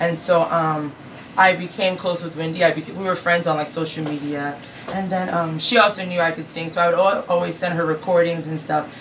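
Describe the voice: Over faint background noise, a woman with an American accent speaks at a low pitch with fairly even intonation.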